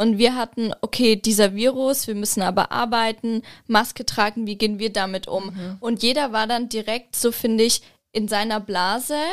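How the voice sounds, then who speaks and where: In a very clean recording with a silent background, a woman with an ordinary speaking voice and a fairly high pitch talks at a moderate pace with fairly even intonation. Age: 20s. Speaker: visual merchandising designer. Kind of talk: casual chat.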